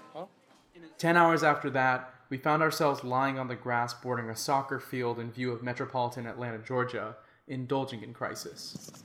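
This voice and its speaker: A man with an American accent and an ordinary speaking voice talks at a fairly quick pace at a medium pitch. His intonation is fairly even, while his loudness swings widely. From Florida. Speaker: podcast host. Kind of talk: scripted narration.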